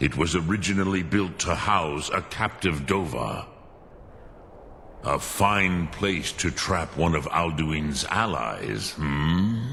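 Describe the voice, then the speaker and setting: Someone speaks in a put-on character voice at a fairly slow pace. Background noise is clearly heard. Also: man, very deep, low pitch for a man. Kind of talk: ceremonial, ancient speech mixed with dragon words. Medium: video game. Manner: slow, archaic, measured.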